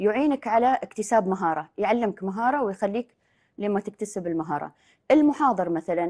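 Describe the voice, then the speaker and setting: Against a quiet background, a woman speaks in a dark, mellow tone at a moderate pace with lively intonation. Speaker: life coach. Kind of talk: casual interview chat. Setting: studio. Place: studio.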